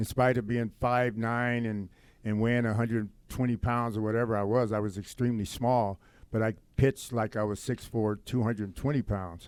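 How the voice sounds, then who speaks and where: Speaking at a moderate pace and medium pitch, a man with an American accent uses monotone, flat intonation on a very clean recording with a silent background. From US West Coast, Compton, California. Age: 60s. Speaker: former pro baseball player and youth counselor. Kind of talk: podcast interview, personal testimony. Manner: hesitant with frequent fillers.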